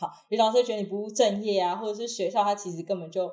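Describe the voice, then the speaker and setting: A woman speaks at a medium pitch with ordinary pitch variation. She has a normal speaking voice. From Taiwan, Taichung. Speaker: university student and acrobat. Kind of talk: casual interview.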